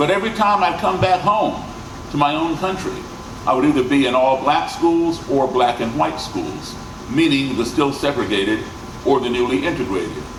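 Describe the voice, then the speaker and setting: A fairly high-pitched man's voice with an American accent and lively intonation, plus audible room echo and noticeable background noise. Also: moderate pace. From grew up abroad and in the US. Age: 60s. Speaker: musician and speaker. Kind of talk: presentation to audience. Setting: stage with audience.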